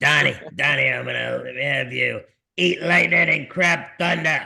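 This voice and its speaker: Put-on character voice, raspy in tone and moderate in pace. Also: man. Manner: gruff, blustery.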